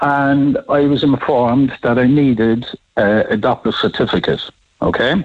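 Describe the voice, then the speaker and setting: An Irish accent marks this man's speech. He talks at a fairly slow pace with fairly even intonation. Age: 70s. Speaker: radio caller. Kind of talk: radio phone-in.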